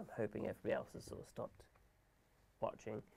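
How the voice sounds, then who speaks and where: Mumbling at a very fast pace, a man talks in an English accent. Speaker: gaming livestreamer. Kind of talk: live stream tutorial chat. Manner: mumbles and stutters; talks fast without pausing for breath. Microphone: audio problems in stream.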